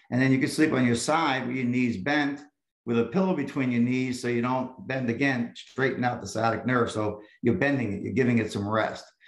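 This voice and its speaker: A medium-pitched male speaker at a fairly quick pace, ordinary pitch variation, with audible room echo. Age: 60s. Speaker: chiropractor. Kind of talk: interview.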